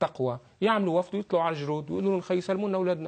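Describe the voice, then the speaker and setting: Against a quiet background, a man talks in a high voice with lively intonation. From Lebanon. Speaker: political analyst. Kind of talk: TV talk show interview. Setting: studio. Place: studio. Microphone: lapel.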